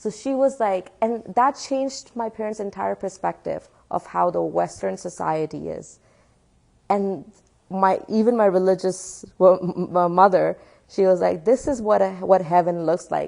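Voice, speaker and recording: A woman with a Pakistani accent speaks at a fairly slow pace and a medium pitch, her tone dark and mellow. Her pitch varies in an ordinary way against a quiet background. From Pakistan, Karachi. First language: Urdu. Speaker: atheist activist speaker. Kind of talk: public talk with Q&A. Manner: animated.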